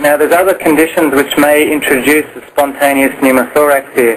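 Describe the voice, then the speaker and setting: A man talks at a fairly quick pace with fairly even intonation and a fairly high pitch. Noticeable background noise is present. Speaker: clinical educator for nurses. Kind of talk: medical teaching on a conference call. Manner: fast.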